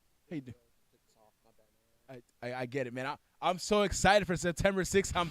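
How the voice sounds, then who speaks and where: Lively intonation and an animated tone mark this man's fairly high voice, which swings widely in loudness and leaves long, frequent pauses. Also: fairly quick pace. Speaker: wrestling show host and former wrestler. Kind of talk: wrestling promo interview. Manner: animated, stumbling over words.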